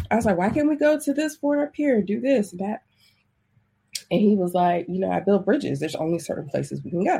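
A woman with vocal fry and a dark, mellow tone talks at a fairly quick pace in a medium pitch, her voice making very wide pitch swings. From US, military family, moved around (South, Hawaii, East Coast). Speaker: life coach. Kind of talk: interview. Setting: remote call.

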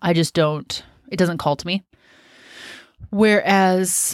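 At a fairly slow pace, a woman with a Pacific Northwest accent speaks at a medium pitch with fairly even intonation. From US, Washington State. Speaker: podcast host, gardener. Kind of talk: solo podcast monologue. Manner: casual.

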